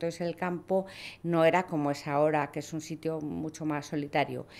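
A woman speaks in a fairly low voice at a moderate pace. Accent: Castilian. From Spain, Toledo (Castilla-La Mancha). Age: 60s. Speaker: lawyer and hunting club president. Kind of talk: podcast interview. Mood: warm, nostalgic. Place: studio. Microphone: studio mic.

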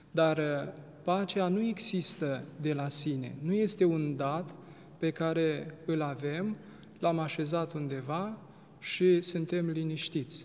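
Speaking at a very slow pace, a man keeps a fairly even intonation in a fairly high pitch. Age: young. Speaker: Orthodox priest. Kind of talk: religious TV interview. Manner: formal. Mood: calm, reflective. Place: church.

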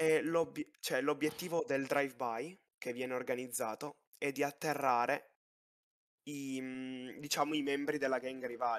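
This man's medium-pitched voice, fairly even in intonation, moves at a rather slow pace. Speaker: gamer applying to roleplay server. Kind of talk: oral exam interview. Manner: halting.

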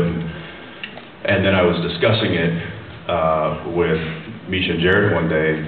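In a room with audible echo and light background noise, a man with a very deep, low pitch talks fairly quickly in a flat monotone. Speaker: guest. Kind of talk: interview answer. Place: hall. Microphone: pa.

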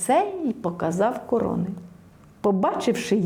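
The voice reads aloud in a natural way.

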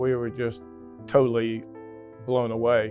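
With clear music in the background, a man speaks at a fairly slow pace and with fairly even intonation. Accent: American. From Virginia, US. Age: 60s. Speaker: lung transplant patient. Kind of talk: interview answer. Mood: calm, reflective. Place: hall. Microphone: lapel.

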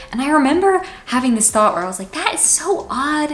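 This woman speaks at a very fast pace. Her pitch swings very widely. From Washington, D.C. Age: 20s. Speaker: YouTuber, college student; student vlogger. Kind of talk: casual vlog monologue; casual vlog chat. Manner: casual, filler-heavy (like). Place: home room.

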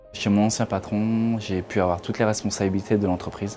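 In an ordinary speaking voice, a man talks at a moderate pace with fairly low pitch and fairly even intonation over light background noise. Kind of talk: interview answer. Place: shop. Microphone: lapel.

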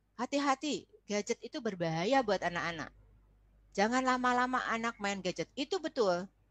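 A woman speaks at a moderate pace with a fairly high pitch and very wide pitch swings, her voice dry with no echo against a quiet background. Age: 60s. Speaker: foundation chair and lecturer on parenting; presenter. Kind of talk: online parenting presentation. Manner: warm, conversational, addresses audience. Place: classroom. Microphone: webcam.

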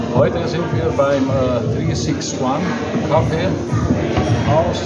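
Music plays in the background as a man speaks. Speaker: vlogger. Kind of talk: casual vlog chat. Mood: relaxed, cheerful.

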